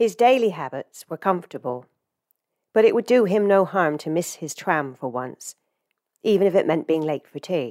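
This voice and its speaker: Very cleanly recorded with a silent background, a woman speaks at a moderate pace with an English accent. Her fairly low voice has a dark, mellow tone and very wide pitch swings. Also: dry, close sound with no echo. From England. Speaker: fiction writer. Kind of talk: reading aloud. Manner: hesitant, many fillers.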